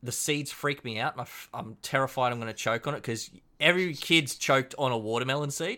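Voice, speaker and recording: A man with an Australian accent speaks at a very fast pace, in a medium pitch with ordinary pitch variation and a bright, sharp tone. The recording is very clean, with a silent background. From Queensland, Australia. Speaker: cocktail hobbyist. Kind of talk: casual chat.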